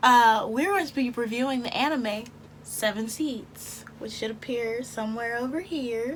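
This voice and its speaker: A woman speaks at a high pitch and a fairly slow pace, with ordinary pitch variation. Noticeable background noise runs behind her. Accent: American. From Texas. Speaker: YouTube anime reviewer. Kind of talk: casual commentary to camera. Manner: chatty, humorous.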